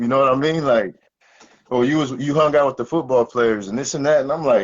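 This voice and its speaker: A man with an American accent at a very fast pace. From Oklahoma, rural small town. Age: 20s. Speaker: former college football player. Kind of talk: casual chat. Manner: halting, many fillers.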